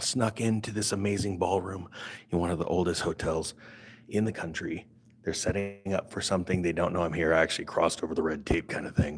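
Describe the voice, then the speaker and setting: A man's put-on character voice, very deep and low, raspy, at a very fast pace with fairly even intonation. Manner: sneaking.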